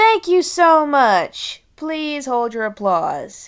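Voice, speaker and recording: On a very clean recording with a silent background, a woman uses a put-on character voice, high-pitched and very slow. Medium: read story. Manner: theatrical, smooth.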